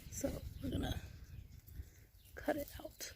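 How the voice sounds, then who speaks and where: The woman here is soft-spoken. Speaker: gardening channel host. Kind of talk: gardening tutorial talk to camera.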